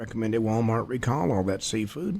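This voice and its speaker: A man at medium pitch and moderate pace. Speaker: radio talk show host. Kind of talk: news commentary. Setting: studio. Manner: louder than before. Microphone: new upgraded equipment.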